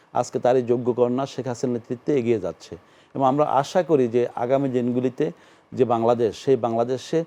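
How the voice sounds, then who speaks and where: This man's medium-pitched voice carries a dark, mellow tone and fairly even intonation. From Bangladesh, Patuakhali (southern region). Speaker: politician. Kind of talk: TV interview.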